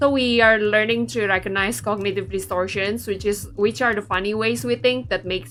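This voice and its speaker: Over music in the background, the voice swings very widely in pitch. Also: woman. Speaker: VTuber game streamer. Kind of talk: casual livestream chat while playing a game. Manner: chatty, conversational with many fillers.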